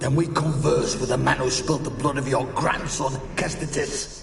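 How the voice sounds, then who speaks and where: Clear background noise and a clear echo surround a man doing a put-on character voice at a fairly high pitch and a moderate pace. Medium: video game. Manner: cold, menacing.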